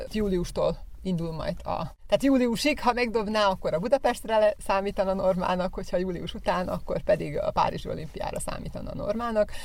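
A woman talks at a fairly quick pace with hardly any pauses. Noticeable background noise runs behind her. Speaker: athletics coach, athlete's mother. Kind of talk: radio interview.

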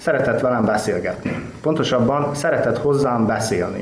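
Noticeable noise fills the background while the man, his voice fairly high, talks at a moderate speed. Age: young. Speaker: writer. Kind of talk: reading aloud.

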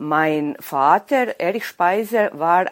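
A woman is speaking. Her pace is very slow. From Vojvodina, Serbia (Bač). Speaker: weightlifting referee and librarian. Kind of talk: interview. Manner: halting.

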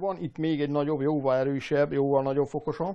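The man's pitch is fairly high and his pace fairly quick, while his intonation stays monotone and flat. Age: 50s. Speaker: machinist and historical armor maker. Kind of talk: interview. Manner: halting.

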